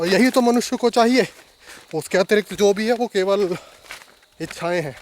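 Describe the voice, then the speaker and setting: A man's voice with a dry, close sound and no echo, music in the background. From Uttarakhand, India. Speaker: travel vlogger. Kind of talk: travel vlog narration. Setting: outdoors.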